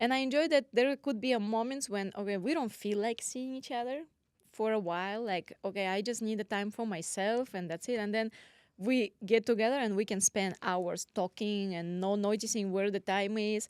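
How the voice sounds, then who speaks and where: A woman's fairly high voice in a Russian accent, ordinary pitch variation, moderate pace, dry and close with no echo, on a very clean recording with a silent background. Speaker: podcast co-host, real estate agent. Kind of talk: casual chat.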